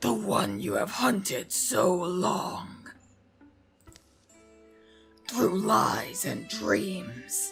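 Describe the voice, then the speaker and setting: Over faint background music, a put-on character voice growls at a very slow pace with a raspy sound, a middle pitch and very wide pitch swings. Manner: cunning, crooning, menacing.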